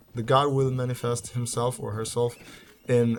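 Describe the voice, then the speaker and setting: A man's somewhat breathy, medium-pitched voice with a non-native accent, at a fairly slow pace. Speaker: gaming video creator. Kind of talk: gameplay commentary. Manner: hesitant, many fillers and repeats.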